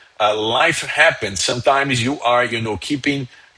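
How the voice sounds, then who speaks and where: A man with a medium pitch speaks at a moderate pace and fairly even intonation. Background noise is noticeable. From Brazil, São Paulo. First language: Portuguese. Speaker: immigration lawyer. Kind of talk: live stream Q&A. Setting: live stream. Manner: halting, many fillers.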